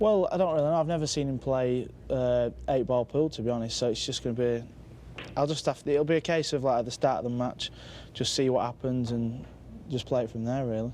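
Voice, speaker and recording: This man has a dark, mellow tone and a medium pitch with ordinary pitch variation. He talks at a fairly quick pace. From northern England, Manchester. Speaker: pool player. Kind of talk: post-match style interview.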